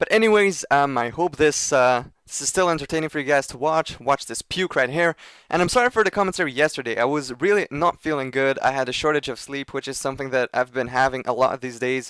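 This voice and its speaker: A man with a fairly high pitch talks at a very fast pace with ordinary pitch variation. The sound is dry and close with no echo, in a very clean recording with a silent background. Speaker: gaming commentator. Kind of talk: gameplay commentary.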